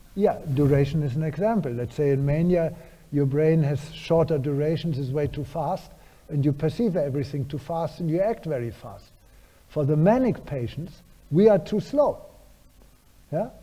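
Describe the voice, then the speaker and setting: A man's somewhat breathy voice, fairly high in pitch, dark and mellow in tone, with ordinary pitch variation at a moderate pace. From Germany. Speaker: neuroscientist, professor. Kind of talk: lecture Q&A answers. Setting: university lecture hall with audience.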